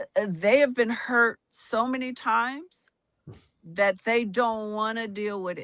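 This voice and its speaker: A woman speaks fairly slowly in an unremarkable speaking voice, fairly high in pitch, with ordinary pitch variation and big swings in loudness. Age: 60s. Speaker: podcast co-host. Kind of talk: casual chat.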